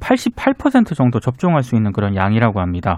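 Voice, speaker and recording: A man speaks at a moderate tempo, the sound dry and close with no echo. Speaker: journalist. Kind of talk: news briefing on radio.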